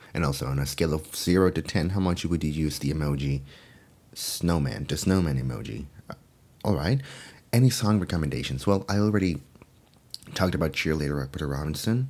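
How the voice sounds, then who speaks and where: Soft-spoken and very deep-voiced, a man talks at a fairly quick pace with lively intonation. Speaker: furry ASMR content creator. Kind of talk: casual Q&A talk to camera. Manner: soft-spoken, friendly.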